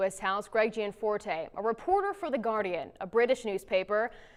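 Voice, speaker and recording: A normal speaking voice at a fairly quick pace. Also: woman. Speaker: TV news reporter and anchor. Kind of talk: TV news report. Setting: studio.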